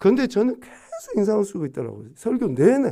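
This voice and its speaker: Against a quiet background, a man with a dark, mellow tone speaks at a moderate pace with very wide pitch swings. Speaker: pastor. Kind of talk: sermon. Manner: emphatic, frowning when stressing points.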